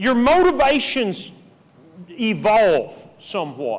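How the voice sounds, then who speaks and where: A man with a high-pitched voice swings his pitch very widely. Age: 60s. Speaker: preacher. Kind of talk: sermon.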